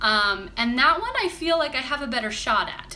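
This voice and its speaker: The intonation is lively. There is noticeable noise in the background. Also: woman. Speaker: crafts vlogger and stage performer. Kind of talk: casual live stream chat. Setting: live stream. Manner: chatty with fillers.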